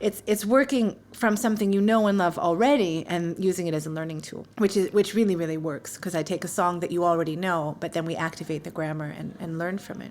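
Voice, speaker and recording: Talking very fast with hardly any pauses, a woman with a New York accent speaks at a fairly low pitch. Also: ordinary pitch variation. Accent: New York American. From US, New York. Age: 40s. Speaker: English teacher. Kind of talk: interview. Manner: animated.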